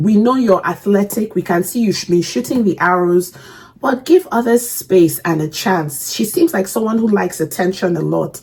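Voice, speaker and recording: At a moderate pace and medium pitch, a woman speaks in an animated tone, her voice somewhat breathy. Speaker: reaction video creator. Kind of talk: casual reaction commentary. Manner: halting.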